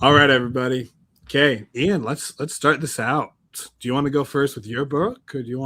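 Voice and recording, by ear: A man puts on a hoarse character voice at a medium pitch, talking at a fairly quick pace with fairly even intonation.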